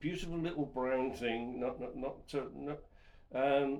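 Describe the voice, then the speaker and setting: In a Wiltshire accent, the voice moves with ordinary pitch variation against audible room echo. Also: man. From southwest England, Wiltshire. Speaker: podcast co-host. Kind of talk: casual chat. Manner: halting, repetitive.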